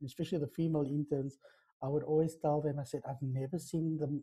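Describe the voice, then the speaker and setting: Against a quiet background, a man talks at a fairly quick pace in a somewhat breathy voice with monotone, flat intonation. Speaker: TV production professional, interviewer. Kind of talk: interview host questions. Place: home room. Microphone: earbuds.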